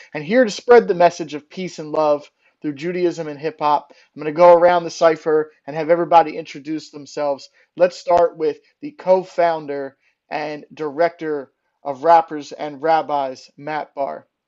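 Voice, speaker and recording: A man with an American accent speaks at a moderate pace in a fairly high pitch, using fairly even intonation and big swings in loudness, a plain, everyday voice. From Philadelphia. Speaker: rapper and show host. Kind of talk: live-stream hosting. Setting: live video stream from home.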